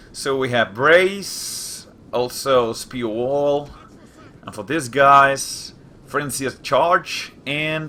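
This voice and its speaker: Over noticeable background noise, a man with a fairly high pitch talks at a very slow pace, showing big swings in loudness and ordinary pitch variation. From Spain. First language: Spanish. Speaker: gaming youtuber. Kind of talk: gameplay commentary. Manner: hesitant, many fillers.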